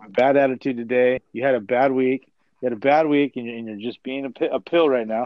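In an unremarkable speaking voice, a man talks at a medium pitch and moderate pace with fairly even intonation, his loudness swinging widely. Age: 40s. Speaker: podcast co-host. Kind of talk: casual chat. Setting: video call.

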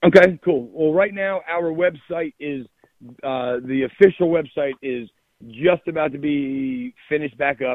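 Pitched fairly high, this man has an unremarkable speaking voice, with ordinary pitch variation and a fairly slow pace. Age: 30s. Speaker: musician. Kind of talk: casual chat.

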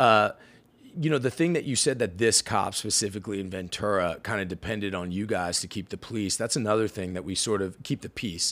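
Over a very clean recording with a silent background, a man with an American accent speaks in a normal speaking voice at a fairly quick pace, fairly low in pitch with ordinary pitch variation. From Washington DC. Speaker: podcast host. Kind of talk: casual interview.

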